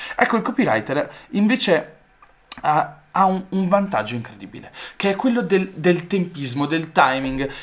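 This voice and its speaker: A man's high-pitched voice with very wide pitch swings, at a fairly slow pace. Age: 20s. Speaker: digital entrepreneur, YouTuber; YouTuber. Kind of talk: talking-head monologue to camera. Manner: enthusiastic. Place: home room.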